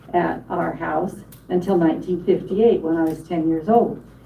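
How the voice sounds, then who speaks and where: Audible room echo and noticeable background noise surround a woman's voice. Her pitch is fairly low, with ordinary variation. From Wyoming, Newcastle area. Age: 70s. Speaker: panel speaker. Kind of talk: public talk, reminiscence.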